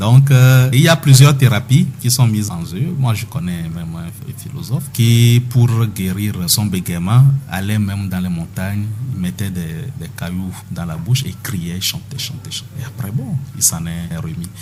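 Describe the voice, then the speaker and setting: A man with a fairly low pitch speaks at a fairly slow pace with lively intonation. His loudness swings widely over noticeable background noise. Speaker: doctor guest speaking on health topic (stuttering). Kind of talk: radio interview answer, explanatory.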